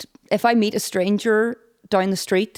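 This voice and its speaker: A woman speaks in a Northern Irish accent at a medium pitch. Her pitch varies in an ordinary way, and the sound is dry and close with no echo. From Northern Ireland, County Derry. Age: 30s. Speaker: podcast guest. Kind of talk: casual chat.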